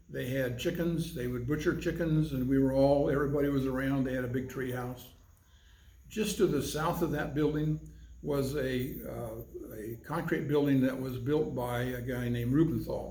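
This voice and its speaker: In an American accent, a man of medium pitch speaks somewhat breathily at a moderate pace, his tone dark and mellow, his pitch variation ordinary, with room echo audible. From Arizona. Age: 70s. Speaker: civic club president. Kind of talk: oral history interview. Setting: in-person interview.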